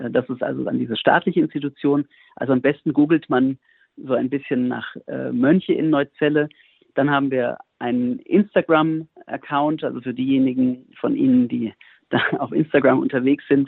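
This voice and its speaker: In an ordinary speaking voice, a man talks at a moderate pace with a fairly high pitch and fairly even intonation. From Germany, near Frankfurt am Main (Hesse). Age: 40s. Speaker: monk and priest. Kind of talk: radio interview.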